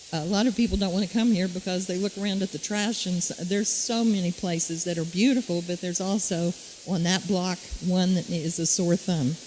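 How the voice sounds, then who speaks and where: Amid noticeable background noise, a woman talks at medium pitch and a fairly quick pace, her intonation fairly even. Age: 70s. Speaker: city council candidate. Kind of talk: candidate forum answer.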